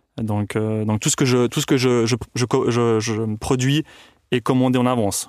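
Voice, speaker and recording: A man's monotone, flat delivery, dry and close with no echo, on a very clean recording with a silent background. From Tuscany, Italy. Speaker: cheesemaker. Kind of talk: interview. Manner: halting.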